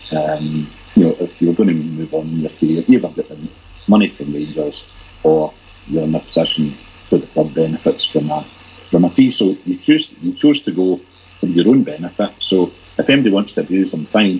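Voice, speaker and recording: A man's very deep, low pitch in a Glaswegian accent, with noticeable background noise. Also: ordinary pitch variation, moderate pace. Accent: Glaswegian Scottish. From Glasgow, Scotland. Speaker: football fan site editor. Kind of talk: casual chat.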